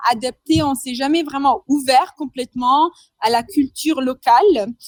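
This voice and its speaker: Heard dry and close with no echo, a woman speaks at a high pitch with ordinary pitch variation. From Madagascar. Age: 20s. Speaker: entrepreneur. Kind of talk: interview. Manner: hesitant, many fillers.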